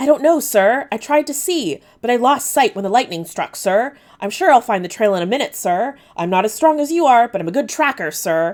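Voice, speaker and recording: A woman puts on a whiny character voice with a high pitch. She talks at a fairly quick pace with hardly any pauses. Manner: whining, groveling.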